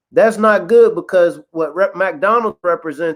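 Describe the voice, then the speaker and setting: In a Kentucky accent, a man speaks against a quiet background. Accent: Kentucky twang. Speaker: podcast co-host. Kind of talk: casual chat. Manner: animated.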